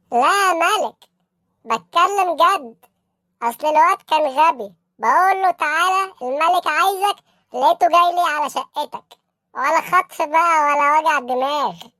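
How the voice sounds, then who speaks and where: A woman's cartoonish character voice at an extremely high pitch, delivered at a fairly slow pace. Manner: fawning, keeps addressing his boss as king.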